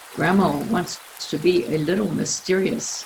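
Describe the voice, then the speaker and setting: A woman is heard over noticeable background noise. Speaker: author reading her own children's book. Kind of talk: children's story reading.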